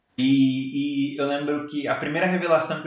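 There is audible room echo and noticeable background noise. A man talks through it at a moderate pace. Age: 20s. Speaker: podcast host, church ministry worker. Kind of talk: casual chat. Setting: at home.

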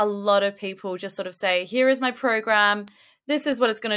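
Talking at a fairly quick pace in a plain, everyday voice with ordinary pitch variation, the speaker comes through on a very clean recording with a silent background. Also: woman. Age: 30s. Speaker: sales and marketing business coach. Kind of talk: podcast interview.

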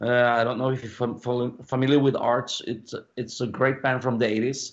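Speaking at a fairly slow pace, a man with a Norwegian accent uses a medium pitch. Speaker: rock singer. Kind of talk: casual interview.

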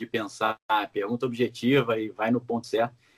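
A man with a Rio de Janeiro accent speaks at a moderate pace. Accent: carioca. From Brazil, Rio de Janeiro. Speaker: political commentator. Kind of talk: interview.

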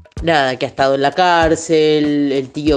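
The speaker has an Argentine accent and fairly even intonation. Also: woman. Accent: Rioplatense Argentine Spanish. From Buenos Aires, Argentina. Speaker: singer-songwriter. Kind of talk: interview. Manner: hesitant with fillers.

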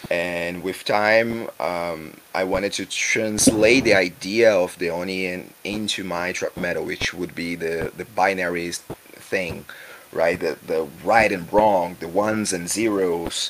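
Through noticeable background noise, a man with a Brazilian accent and a very deep, low pitch speaks at a very slow pace. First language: Portuguese. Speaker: musician. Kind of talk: interview. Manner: halting.

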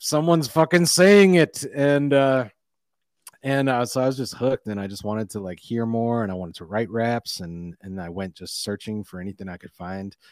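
With a plain, everyday voice at medium pitch, a man speaks with lively intonation and big swings in loudness in a dry, close sound with no echo. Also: moderate pace. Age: 40s. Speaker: rapper and spoken word artist. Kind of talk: casual interview chat.

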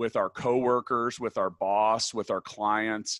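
Recorded very cleanly with a silent background and a dry, close sound without echo, a man speaks at a medium pitch and a fairly slow pace. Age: 40s. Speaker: podcast host and tech company CEO. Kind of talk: interview. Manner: direct.

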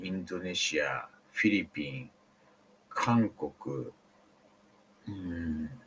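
A man with a very deep, low pitch speaks very slowly, leaving long, frequent pauses. His intonation is lively throughout. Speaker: podcaster. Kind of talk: casual storytelling monologue. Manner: hesitant, many fillers.

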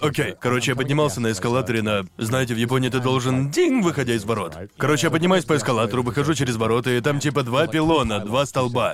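Over noticeable background noise, a man speaks fairly quickly at medium pitch with ordinary pitch variation. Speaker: podcast host. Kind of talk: casual banter podcast. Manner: jokey, casual, swearing.

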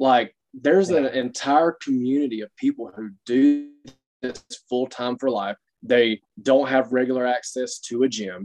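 Speaking with a Southern US accent, a man talks at a fairly slow pace in a medium pitch with ordinary pitch variation. His loudness swings widely, and the sound is dry and close with no echo. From US South, Alabama (Dothan). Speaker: fitness coach. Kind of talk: casual interview.

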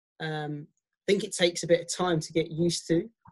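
A man's high-pitched voice holds fairly even intonation. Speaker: podcast host and coach. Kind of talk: casual interview chat.

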